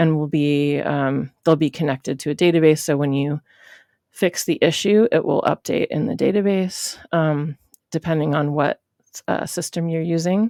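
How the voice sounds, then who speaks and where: A woman speaks at a moderate pace with a very deep, low pitch, a dark, mellow tone and ordinary pitch variation. The sound is dry and close with no echo, in a very clean recording with a silent background. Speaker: web development instructor. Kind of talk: screen-recorded coding tutorial. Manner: off the cuff, many filler words.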